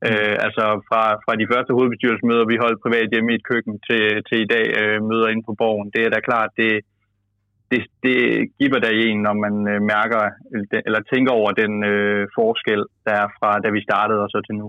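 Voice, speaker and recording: At a moderate pace, the speaker holds a monotone, flat intonation and leaves long, frequent pauses. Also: man, medium pitch for a man. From Denmark, Jutland. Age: 20s. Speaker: youth party leader, politician. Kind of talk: interview. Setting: phone call.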